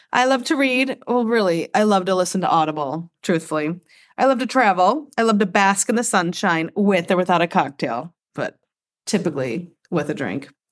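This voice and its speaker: A woman with a Midwestern US accent speaks at a moderate pace and medium pitch, her voice swinging very widely in pitch, on a very clean recording with a silent background. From Michigan, US. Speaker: podcast co-host, mom. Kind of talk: casual chat.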